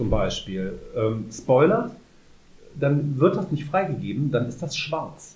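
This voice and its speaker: A man's dark, mellow voice carries vocal fry and very wide pitch swings, with audible room echo. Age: 30s. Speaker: podcast co-host. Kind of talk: casual chat.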